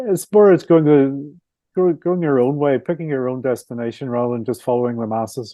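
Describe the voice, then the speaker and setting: Speaking in a Belfast accent, a man moves at a fairly quick pace. His pitch varies in an ordinary way. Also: medium pitch for a man. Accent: Belfast Northern Irish. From Northern Ireland, Belfast. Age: 60s. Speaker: author and motorcycle traveller. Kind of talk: podcast interview.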